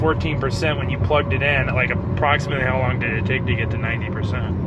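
Speech rushes at a very fast pace with hardly any pauses. The sound is dry with no echo, though background noise is loud. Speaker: passenger asking the car owner questions. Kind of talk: casual conversation. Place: car. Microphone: phone near.

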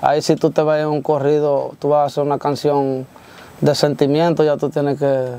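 Dry and without echo, a man's fairly high voice has a dark, mellow tone and a monotone, flat delivery at a moderate pace. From Dominican Republic, Baní (Peravia); Dominican Republic. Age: young. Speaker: corrido singer; interviewee. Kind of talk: interview. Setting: studio. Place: studio.

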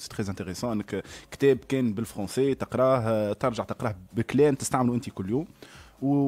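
The speaker talks at a fairly quick pace. Pitch variation is ordinary. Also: man, medium pitch for a man. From Tunisia. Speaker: translator and journalist; guest. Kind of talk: radio interview. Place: studio. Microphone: studio mic.

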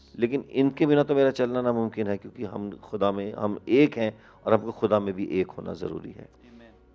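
Loudness swings widely as a man speaks at a moderate pace with a medium pitch. His pitch varies in an ordinary way. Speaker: pastor. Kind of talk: interview, sharing testimony and prayer. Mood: warm, devotional. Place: studio. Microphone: handheld.

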